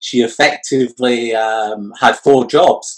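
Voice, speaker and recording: A man's medium-pitched voice with a Scottish accent. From Scotland. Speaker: entrepreneur and future of work expert. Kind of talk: interview. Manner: hesitant, many fillers.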